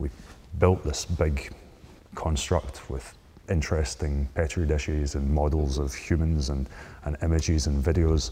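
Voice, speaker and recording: With a Scottish accent, a man speaks in a very deep, low voice with fairly even intonation. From Scotland. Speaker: microbiologist. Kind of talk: interview.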